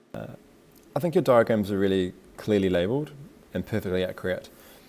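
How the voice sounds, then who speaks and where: A fairly quick pace carries the speech, and pitch varies in an ordinary way. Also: man. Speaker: teacher. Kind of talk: tutorial. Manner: casual, conversational.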